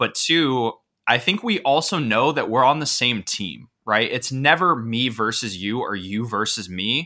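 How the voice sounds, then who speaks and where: A man's bright, sharp tone in a very clean recording with a silent background. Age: 20s. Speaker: podcast co-host, agency owner. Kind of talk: casual chat.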